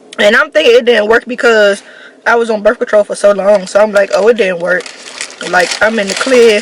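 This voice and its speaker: With an American accent, a woman talks at a fairly quick pace and fairly high pitch with ordinary pitch variation, over noticeable background noise. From Washington, DC. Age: 20s. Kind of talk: casual storytime talk to camera.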